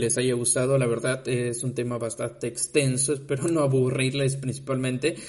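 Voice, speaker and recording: Speaking with a Yucatecan accent, a man talks at medium pitch and a fairly slow pace. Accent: Yucatecan Mexican Spanish. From Mexico, Yucatán (Mérida). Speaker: podcast host, university student. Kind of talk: casual podcast monologue. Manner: halting, many fillers.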